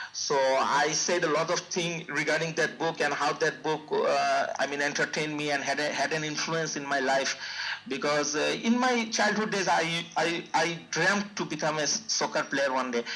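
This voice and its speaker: This man has a fairly high pitch, ordinary pitch variation and very even loudness, with hardly any pauses. Noticeable background noise runs underneath. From Bangladesh. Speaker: IELTS test taker. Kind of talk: interview. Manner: fast; hesitant, many fillers and repeats.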